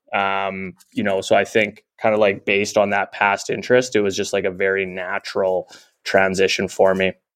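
The recording is very clean, with a silent background. A man with a Canadian accent and fairly low pitch speaks at a moderate pace in a monotone, flat intonation. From Canada. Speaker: tech company founder and CEO. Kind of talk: interview.

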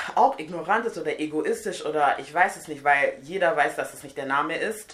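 This is an ordinary speaking voice, and it moves at a moderate pace. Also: woman. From Nigeria. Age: 20s. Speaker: hair and beauty guest. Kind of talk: casual chat.

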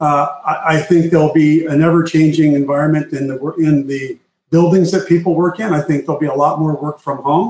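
A man speaks in a plain, everyday voice with an American accent, fairly high in pitch. He goes at a fairly quick pace with fairly even intonation and hardly any pauses. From Arizona. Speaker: tech executive. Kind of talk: interview.

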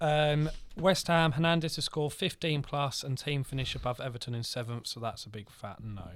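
The recording is very clean, with a silent background. A man with an unremarkable speaking voice talks at a fairly high pitch, his pitch varying in an ordinary way. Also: moderate pace. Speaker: podcast co-host. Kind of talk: casual chat.

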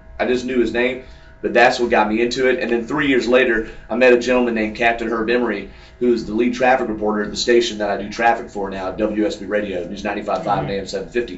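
A man of medium pitch talks at a very fast pace with fairly even intonation amid noticeable background noise. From Atlanta, Georgia (DeKalb County). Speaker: traffic reporter and racing radio broadcaster. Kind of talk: casual interview. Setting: at the race track media center.

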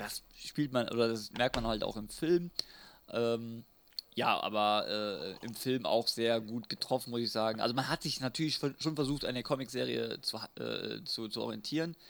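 On a very clean recording with a silent background, a man with an unremarkable speaking voice talks at a moderate pace and medium pitch with ordinary pitch variation. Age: 30s. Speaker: podcast co-host, retro fan. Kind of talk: casual chat.

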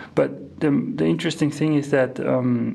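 Over noticeable background noise, a man with a German accent speaks at a fairly slow pace. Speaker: composer and organist. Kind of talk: interview. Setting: music centre in Mexico. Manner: halting, many fillers and repeats.

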